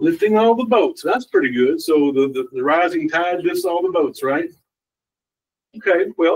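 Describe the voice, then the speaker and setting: A man with a strong Kentucky accent talks at a moderate pace in a high pitch. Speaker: community development director, former elected official. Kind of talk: presentation to a council meeting. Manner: casual, joking.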